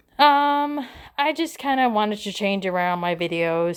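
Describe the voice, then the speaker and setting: A woman with an American accent, fairly high-pitched, with very wide pitch swings and a fairly slow pace, on a very clean recording against a silent background. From northern US. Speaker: doll collector vlogger. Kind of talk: casual vlog ramble. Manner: halting, many fillers.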